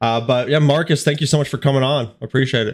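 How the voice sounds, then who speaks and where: With an American accent and a plain, everyday voice, a man speaks at medium pitch with fairly even intonation. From Colorado. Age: 30s. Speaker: podcast host. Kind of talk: casual interview.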